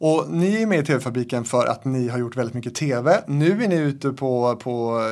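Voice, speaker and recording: A man's fairly high voice at a moderate pace in a very clean recording with a silent background. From Stenungsund, western Sweden. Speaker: podcast host. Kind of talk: interview.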